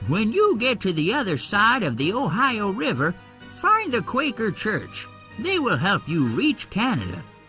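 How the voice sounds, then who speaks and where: Over clear music in the background, a man uses a put-on character voice. It is high-pitched and moves at a moderate pace. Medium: read story.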